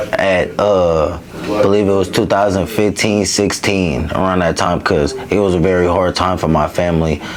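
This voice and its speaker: A man speaks at a moderate pace with a very deep, low pitch and fairly even intonation. He keeps his loudness very even and leaves hardly any pauses over noticeable background noise. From East Oakland, California. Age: 20s. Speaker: interview guest. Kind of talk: casual interview, personal story.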